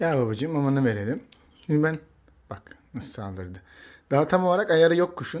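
An animated man with a fairly high pitch makes very wide pitch swings and takes long, frequent pauses. The recording is very clean, with a silent background. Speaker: pet bird YouTuber. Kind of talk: casual vlog talk to camera. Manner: hesitant fillers; animated, exclamatory.

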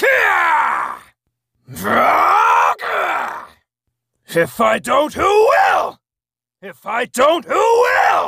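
In a put-on character voice with an extremely high pitch, the speaker goes at a very slow pace and takes long, frequent pauses. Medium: voice reel. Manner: shouted, strained yells.

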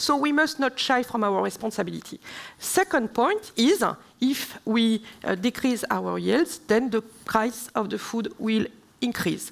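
A woman talks at a fairly slow pace in a French accent. Vocal fry runs through her voice. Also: fairly high pitch for a woman, lively intonation. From southern France. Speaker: member of European Parliament; speaker. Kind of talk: panel debate; panel discussion answer. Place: stage. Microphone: headset.

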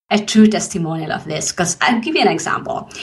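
With lively intonation, a woman speaks in a fairly high, somewhat breathy voice. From Philippines. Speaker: podcast host and business coach. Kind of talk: interview.

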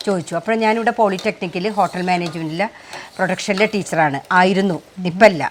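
A woman speaks at a medium pitch with ordinary pitch variation. Hers is an unremarkable speaking voice. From Kerala, Thrissur (Nattika). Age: 50s. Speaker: small food producer and farmer. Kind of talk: cooking demonstration.

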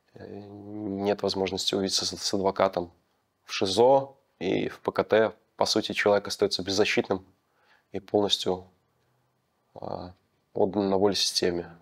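A man speaks in a fairly low, monotone voice at a fairly slow pace, with long, frequent pauses. The background is quiet. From Belarus. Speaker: former political prisoner; interviewee. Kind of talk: testimony. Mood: calm, serious. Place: empty room. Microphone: lapel.

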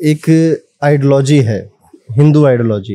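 A man's dark, mellow tone carries at a moderate pace. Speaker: podcast host, astrologer. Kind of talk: interview.

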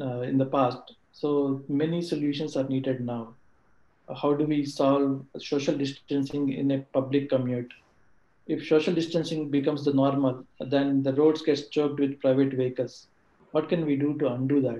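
The tone is dark and mellow, the intonation monotone and flat, with audible room echo. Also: man, fairly high pitch for a man, moderate pace. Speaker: colleague of speaker, answering audience questions; speaker. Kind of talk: talk / webinar presentation. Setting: video call webinar. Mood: motivational, earnest. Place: home room. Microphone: video call.

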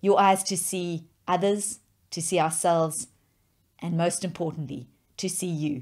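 Against a quiet background, a woman speaks fairly slowly at a fairly low pitch with fairly even intonation. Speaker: preacher. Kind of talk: sermon.

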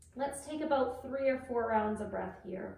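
A woman with ordinary pitch variation, in audible room echo. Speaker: yoga instructor. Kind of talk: guided yoga class with breath cues. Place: home room. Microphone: camera far.

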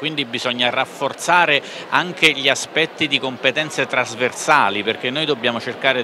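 There is clear background noise behind a man at a medium pitch. He talks at a moderate pace with ordinary pitch variation.

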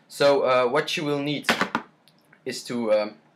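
With a non-native accent, a man speaks at a fairly slow pace in a fairly even intonation. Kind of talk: software tutorial screen recording. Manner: hesitant, many fillers.

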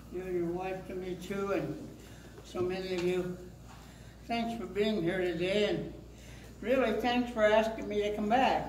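Over light background noise and audible room echo, a man talks at a fairly slow pace with fairly even intonation and long, frequent pauses. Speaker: pastor. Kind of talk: casual remarks to an audience. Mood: warm, grateful. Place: church. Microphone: handheld.

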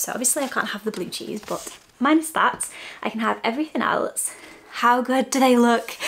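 This woman has a high-pitched voice with ordinary pitch variation. She talks at a moderate pace. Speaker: lifestyle vlogger. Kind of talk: sponsored segment to camera. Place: home room.

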